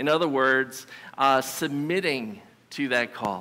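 A man speaks very slowly. His tone is bright and sharp. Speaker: preacher. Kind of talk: sermon. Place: church.

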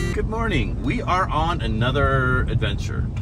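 Over loud background noise, a man speaks at a very slow pace in a dry sound with no echo. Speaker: travel vlogger driving. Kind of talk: casual vlog chat. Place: car. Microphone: camera far.

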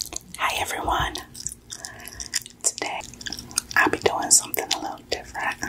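A woman whispers at a moderate speed, pausing often and at length. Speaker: ASMR creator. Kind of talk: ASMR trigger words. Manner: whispered.

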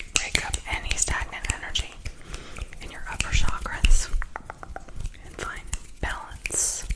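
A woman whispers at a fairly slow pace with long, frequent pauses. Her loudness swings widely over noticeable background noise. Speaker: ASMR artist and Reiki practitioner. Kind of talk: ASMR reiki session. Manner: whispered, soft-spoken.

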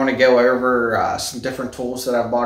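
A man talks at a very fast pace. Room echo is audible. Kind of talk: casual vlog chat. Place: garage. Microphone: phone near.

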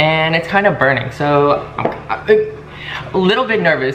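A man talks while noticeable background noise fills the clip. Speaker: vlogger. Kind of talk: casual vlog chat. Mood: a bit nervous, animated. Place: home room. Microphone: camera far.

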